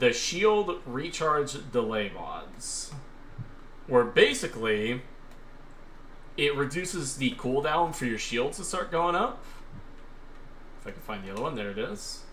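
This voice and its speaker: A man with a fairly high voice speaks at a fairly slow pace, his pitch swinging very widely and his loudness rising and falling sharply, with long, frequent pauses and audible room echo. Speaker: gaming streamer. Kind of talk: live stream gameplay commentary. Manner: casual, filler-heavy.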